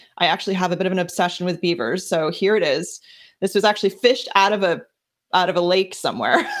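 A woman with an American accent, medium pitch, ordinary pitch variation and a very fast pace. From New Jersey. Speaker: life coach. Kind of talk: casual interview chat.

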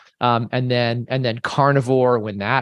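A plain, everyday voice at a fairly slow pace over a quiet background. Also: man. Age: 50s. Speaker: fitness coach. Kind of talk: interview.

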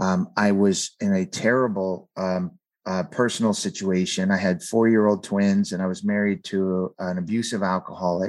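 A man with an American accent and a fairly low pitch, at a moderate pace, in a very clean recording with a silent background. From California, San Fernando Valley. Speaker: author. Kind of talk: interview.

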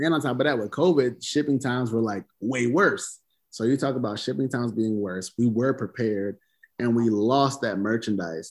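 On a very clean recording with a silent background, a man with an American accent uses an ordinary speaking voice at a medium pitch, a moderate pace and ordinary pitch variation. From US South. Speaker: clothing brand founder. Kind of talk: casual interview.

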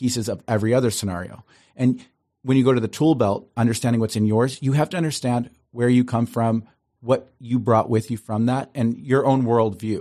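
A man with an American accent, medium pitch and a dark, mellow tone, at a fairly quick pace with fairly even intonation, against a quiet background. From Ohio, US Midwest. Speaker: host and speaker. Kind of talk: casual interview chat. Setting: studio, face to face across a table.

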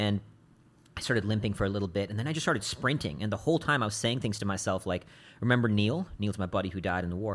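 In a very clean recording with a silent background, a man with an American accent and a fairly low pitch speaks at a very fast pace. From India and Singapore, teens in Texas. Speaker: adventurer and Marine veteran. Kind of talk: casual interview. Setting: studio.

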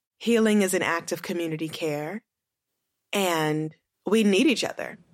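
Over a silent background on a very clean recording, a woman with a plain, everyday voice speaks at medium pitch and a moderate pace, with lively intonation. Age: 30s. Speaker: author and writing teacher. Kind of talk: interview conversation.

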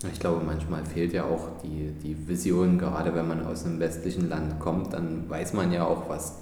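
Over noticeable background noise and audible room echo, a man talks at a moderate pace in a very deep, low voice. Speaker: podcast host, investment advisor. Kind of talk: interview; podcast intro. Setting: hotel manager's office.

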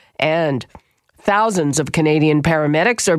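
Speaking in a normal speaking voice, a woman uses lively intonation at a fairly low pitch and a moderate pace. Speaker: radio host. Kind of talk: news reading and interview.

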